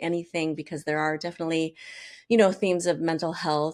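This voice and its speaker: A woman speaks with an American accent at a fairly low pitch. The recording is very clean, with a silent background. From Minnesota, US Midwest. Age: 50s. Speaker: chef and cookbook author. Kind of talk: interview. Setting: radio studio. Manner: animated.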